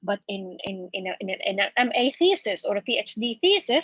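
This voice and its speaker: A woman is heard with a dry, close sound that has no echo. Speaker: university lecturer in applied linguistics. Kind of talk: workshop Q&A. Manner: fast.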